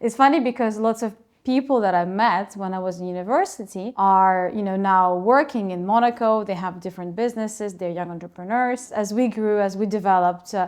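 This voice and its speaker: A woman with a Russian accent speaks at medium pitch, with ordinary pitch variation. She hardly pauses, and the background is quiet. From Ukraine, Kharkiv. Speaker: school co-founder, entrepreneur. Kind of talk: interview.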